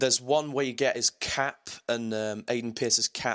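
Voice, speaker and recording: A man with an English accent, medium pitch, moderate pace and fairly even intonation, in a dry, close sound with no echo on a very clean recording with a silent background. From England. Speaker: gaming podcast host. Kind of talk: casual chat.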